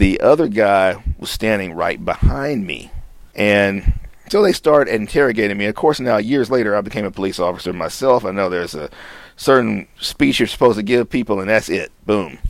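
A man speaks with an unremarkable speaking voice at a moderate pace. His pitch sits fairly low, and his intonation is lively. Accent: American. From Houston, Texas. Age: 50s. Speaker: clinical psychologist. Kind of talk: interview testimony.

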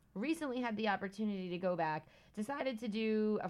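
A woman at a moderate pace, medium pitch and ordinary pitch variation, in a normal speaking voice. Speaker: podcast co-host. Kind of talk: casual chat.

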